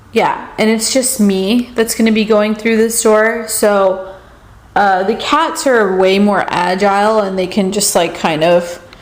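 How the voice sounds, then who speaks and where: A woman speaks at a very even loudness. Noticeable background noise and audible room echo fill the recording. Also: fairly high pitch for a woman, ordinary pitch variation, fairly slow pace. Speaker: vlogger. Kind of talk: casual vlog talk. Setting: at home. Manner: soft-spoken; hesitant, filler-heavy.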